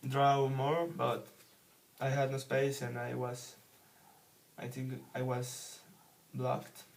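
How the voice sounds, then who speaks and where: A very slow, somewhat breathy delivery with a Spanish accent, monotone, flat intonation and audible room echo. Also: man. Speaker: book reviewer, English learner. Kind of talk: casual book review monologue. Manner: halting, hesitant with many fillers.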